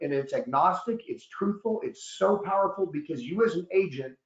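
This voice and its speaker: Loud and fairly quick, a man talks at a high pitch with ordinary pitch variation. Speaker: annuity expert and author, guest presenter. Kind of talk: webinar presentation. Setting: online webinar.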